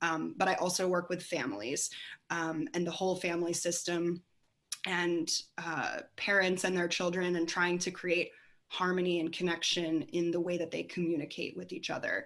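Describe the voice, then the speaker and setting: A woman with a fairly low pitch and a plain, everyday voice speaks at a moderate pace with fairly even intonation. The recording is very clean, with a silent background. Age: 30s. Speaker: family and career coach. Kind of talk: panel discussion.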